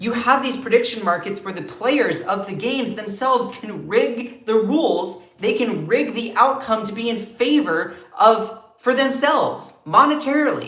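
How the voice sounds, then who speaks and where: A man with an American accent talks at a moderate pace in an animated tone, with extremely high pitch and ordinary pitch variation. His loudness swings widely, he hardly pauses, and noticeable background noise and audible room echo fill the recording. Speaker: political commentary streamer. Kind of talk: live stream commentary. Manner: slurs words sometimes.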